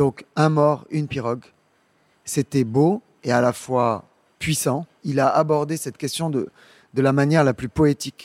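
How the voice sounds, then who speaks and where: A man at a fairly high pitch, fairly slow with long, frequent pauses, fairly even in intonation, in a very clean recording with a silent background and a dry, close sound with no echo. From Senegal, Dakar. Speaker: arts programmer and founder of a cultural agency. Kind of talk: interview monologue for an audio guide. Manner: hesitant, with fillers and repetitions.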